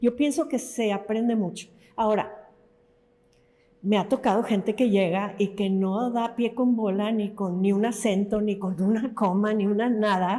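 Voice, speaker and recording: An unremarkable speaking voice moves at a fairly slow pace, with fairly even intonation and very even loudness. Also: woman, fairly high pitch for a woman. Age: 60s. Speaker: novelist. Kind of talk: interview conversation.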